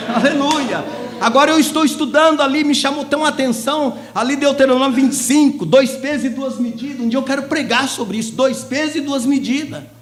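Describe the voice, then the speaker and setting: Amid noticeable background noise and audible room echo, a man talks at a fairly quick pace with an extremely high pitch and fairly even intonation. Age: 60s. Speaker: lay preacher. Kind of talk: sermon. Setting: church service.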